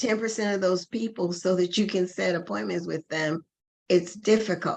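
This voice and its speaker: This is a woman's voice. Her pitch is medium. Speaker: Medicare sales trainer. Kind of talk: online course training session. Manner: loud.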